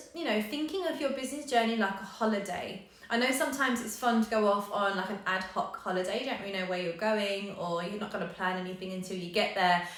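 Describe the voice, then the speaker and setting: Amid audible room echo and noticeable background noise, a woman speaks at a very fast pace in a medium pitch with lively intonation. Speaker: yoga business coach. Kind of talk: live coaching session. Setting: live stream.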